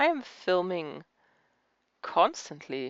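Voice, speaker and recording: A woman with a German accent. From Germany. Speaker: crafting YouTuber. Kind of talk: casual chat. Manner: halting.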